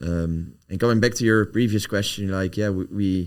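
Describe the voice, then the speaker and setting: A man with a Dutch accent speaks at a fairly low pitch and a moderate pace. The recording is very clean with a silent background, and his pitch varies in an ordinary way. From Netherlands. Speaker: company founder and CEO. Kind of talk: podcast interview. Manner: halting, searching for words.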